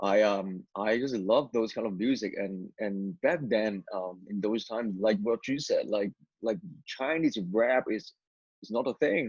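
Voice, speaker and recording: Recorded with a dry, close sound and no echo, a man with a Cantonese accent speaks at a fairly slow pace in a fairly low pitch with ordinary pitch variation. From Hong Kong, moved to Vancouver area at 12. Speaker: former rapper turned missionary. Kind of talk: testimony interview. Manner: halting, many repetitions and fillers.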